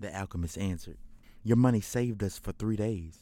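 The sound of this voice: Delivered in an unforced reading voice, the clip has ordinary pitch variation.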